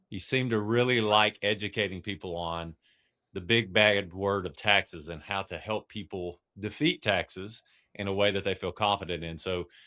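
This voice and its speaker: A man with an East Texas accent speaks at a moderate pace. His pitch is fairly low and his intonation fairly even. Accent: East Texas twang. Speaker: podcast co-host. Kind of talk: podcast interview.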